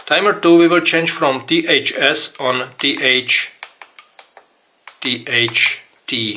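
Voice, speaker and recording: In a Czech accent, a man talks at a very slow pace. His pitch sits in the medium range. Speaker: RC hobby tutorial maker. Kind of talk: tutorial. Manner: halting.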